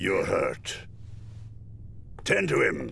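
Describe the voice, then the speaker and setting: Over clear background noise, a man does a raspy, cartoonish character voice. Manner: stately, firm.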